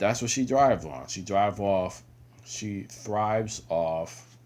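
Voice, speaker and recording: The speaker mumbles in a put-on character voice at a fairly slow pace. Intonation is lively, and loudness swings widely. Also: man, fairly low pitch for a man. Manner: mumbling.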